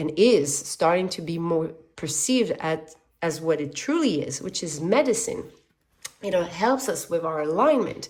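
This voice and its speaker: In a slight French accent, a woman speaks fairly slowly at a fairly low pitch, with lively intonation and an animated tone. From French-speaking background. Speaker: tarot reader. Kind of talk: tarot reading.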